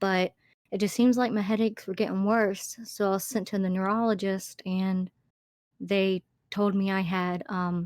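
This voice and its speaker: A woman with an Alabama accent speaks at a medium pitch in a flat monotone, at a fairly slow pace, with a dry, close sound, no echo, and a very clean recording over a silent background. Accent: Alabama Southern. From Alabama, US South. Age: 30s. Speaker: YouTube narrator. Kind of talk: casual interview chat. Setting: call. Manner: halting, many fillers.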